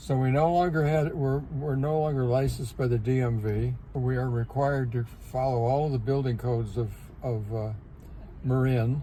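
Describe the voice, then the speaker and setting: Room echo is audible around a man's medium-pitched voice. He speaks at a moderate pace with fairly even intonation. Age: 90s. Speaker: retired bird photographer. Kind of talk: interview. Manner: halting, repeats words.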